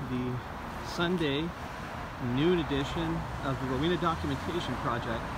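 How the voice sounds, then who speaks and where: A man's voice with ordinary pitch variation, a dry sound with no echo, and loud background noise. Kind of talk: casual commentary. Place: street. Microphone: phone near.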